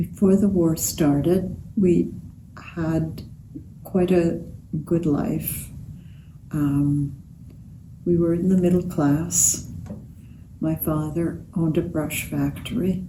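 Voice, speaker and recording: Speaking at a very slow pace, a woman with a fairly low pitch and fairly even intonation is heard with audible room echo. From Romania. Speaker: Holocaust survivor. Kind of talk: interview testimony. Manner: halting.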